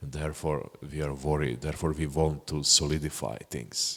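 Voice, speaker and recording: A man with a non-native accent speaks at a moderate pace in a very deep, low pitch. His voice has vocal fry, and his pitch varies in an ordinary way. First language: not English. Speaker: Buddhist meditation teacher. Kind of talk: dharma talk Q&A answer. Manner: halting.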